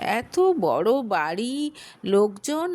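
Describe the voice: Here a woman is talking. Her pitch swings widely.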